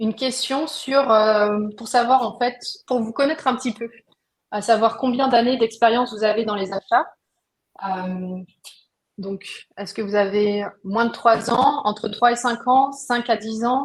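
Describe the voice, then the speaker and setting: With fairly even intonation, a woman with a fairly high voice talks at a fairly slow pace, leaving long, frequent pauses. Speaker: webinar host, procurement software founder. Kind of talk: live webinar hosting. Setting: online video webinar. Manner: hesitant, many filler words.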